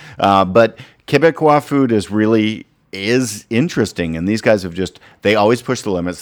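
In a plain, everyday voice, a man speaks at a moderate pace and fairly low pitch with lively intonation, in a very clean recording with a silent background. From Canada, Ottawa. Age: 40s. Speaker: chef and podcast host. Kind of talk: casual chat.

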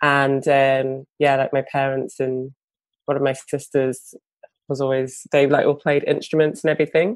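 A woman speaks with a British accent at a moderate pace. Her pitch is very deep and low, her intonation monotone and flat. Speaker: bassist and singer. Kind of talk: interview.

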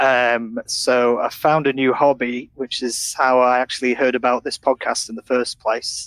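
Speaking with a Yorkshire accent, a man holds a medium pitch and a monotone, flat intonation at a moderate pace. He hardly pauses, and the sound is dry and close with no echo. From Sheffield, northern England. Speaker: laser factory worker. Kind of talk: casual interview. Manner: halting.

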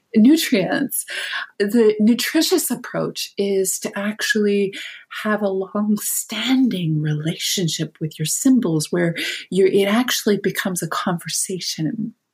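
A woman at a medium pitch in a plain, everyday voice, with a Canadian accent, lively intonation and a fairly slow pace. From Canada. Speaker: author and dreamwork teacher. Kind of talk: interview conversation.

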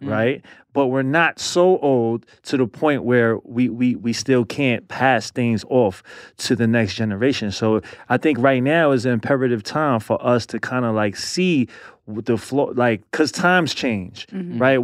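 Speaking at a fairly slow pace with a New York accent, a man uses a medium pitch and ordinary pitch variation against a quiet background. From born in Brooklyn, lives in Queens, New York. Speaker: podcast guest.

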